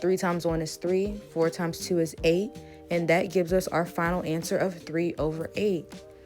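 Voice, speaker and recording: Music plays in the background. A woman with a fairly low voice speaks at a moderate pace. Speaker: math teacher. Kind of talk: math lesson narration.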